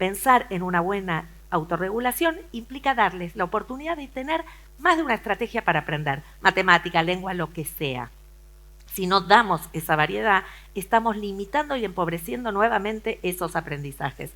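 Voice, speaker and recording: In a very clean recording with a silent background, a woman with a medium pitch speaks in a bright, sharp tone, her pitch swinging very widely. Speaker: education researcher and lecturer. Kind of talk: conference talk. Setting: auditorium with audience. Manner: fast.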